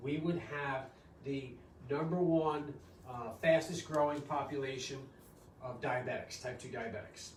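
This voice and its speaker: A man's fairly high, fairly even voice at a fairly slow pace, with long, frequent pauses, big swings in loudness, audible room echo and noticeable background noise. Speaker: doctor. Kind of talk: health workshop talk. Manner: casual, many fillers.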